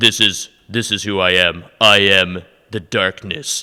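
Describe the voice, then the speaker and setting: A man puts on a character voice with a very deep, low pitch. He speaks at a fairly slow pace with fairly even intonation. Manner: menacing, dramatic.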